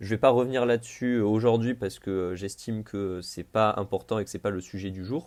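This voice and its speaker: The delivery moves at a fairly quick pace with hardly any pauses. The intonation stays fairly even. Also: man, fairly low pitch for a man. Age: 20s. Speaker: podcaster. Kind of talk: improvised solo podcast monologue. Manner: casual, with frequent hesitations.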